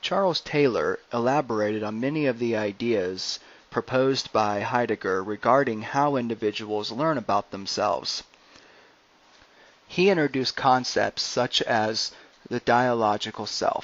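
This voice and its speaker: Here a man speaks in an ordinary speaking voice at a medium pitch. His pace is moderate, and his pitch varies an ordinary amount. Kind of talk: educational presentation narration.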